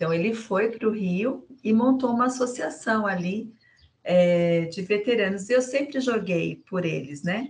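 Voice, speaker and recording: Her voice is somewhat breathy, at a medium pitch. The woman speaks at a fairly slow pace with lively intonation. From Brazil, Sorocaba (São Paulo state). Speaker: businesswoman and finance director. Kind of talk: casual chat.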